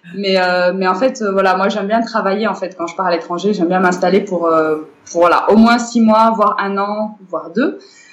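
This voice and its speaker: A woman at a moderate pace with medium pitch, fairly even intonation, hardly any pauses and a plain, everyday voice. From Morocco. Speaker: cultural centre director. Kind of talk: interview.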